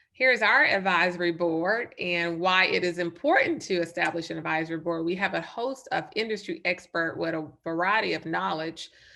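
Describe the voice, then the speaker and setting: With a slight Southern US accent, a woman with a fairly low voice talks at a moderate pace with hardly any pauses. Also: ordinary pitch variation. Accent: slight Southern twang. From North Carolina. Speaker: nurse and startup advisor. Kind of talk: webinar presentation.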